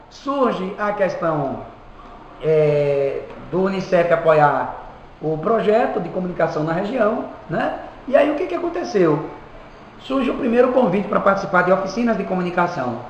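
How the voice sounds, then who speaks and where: A high-pitched man with lively intonation at a moderate pace, long, frequent pauses, audible room echo and noticeable background noise. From Bahia, Brazil (Quijingue). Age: 30s. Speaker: community radio director and announcer. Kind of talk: interview.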